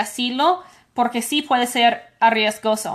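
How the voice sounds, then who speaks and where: Speaking fairly slowly in an English accent, a woman uses a high pitch with ordinary pitch variation. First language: English (speaking Spanish). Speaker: immigration lawyer. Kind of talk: call-in Q&A show. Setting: at home.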